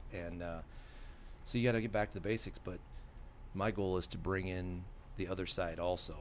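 Very deep, low male voice with an American accent, fairly even intonation, a fairly quick pace, long, frequent pauses and audible room echo. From Iowa, US Midwest. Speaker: volunteer fire chief and teacher. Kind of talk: casual interview.

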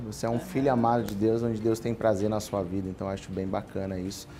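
A man's medium-pitched voice at a very fast pace. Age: 30s. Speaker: podcast host. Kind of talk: casual chat.

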